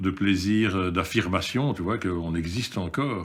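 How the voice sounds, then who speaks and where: Lively intonation colors a man's very deep, low voice as he speaks at a moderate pace. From Belgium, of Yugoslav descent. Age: 60s. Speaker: activist in a seniors' protest group. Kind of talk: interview testimony. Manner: halting.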